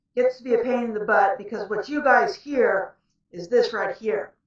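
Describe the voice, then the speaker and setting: A woman with a fairly high pitch is shouting. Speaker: author and vlogger. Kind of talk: casual cooking vlog. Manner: loud, near-yelling to be heard.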